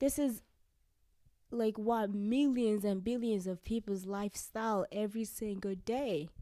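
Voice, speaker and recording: A woman's plain, everyday voice, fairly high in pitch with ordinary pitch variation. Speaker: guest. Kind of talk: casual chat.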